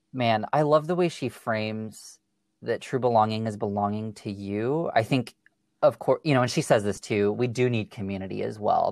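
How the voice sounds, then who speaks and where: An ordinary speaking voice with an American accent moves at a moderate pace. The recording is very clean, with a silent background. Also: man. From US Pacific Northwest. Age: 20s. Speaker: podcast guest, counseling student. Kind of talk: interview conversation.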